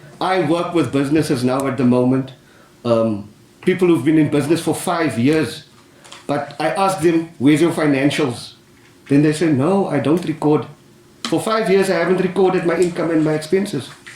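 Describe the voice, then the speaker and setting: A man's fairly high voice with ordinary pitch variation, in audible room echo. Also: moderate pace. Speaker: business adviser. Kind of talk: panel discussion. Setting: council chamber with audience. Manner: loud; animated.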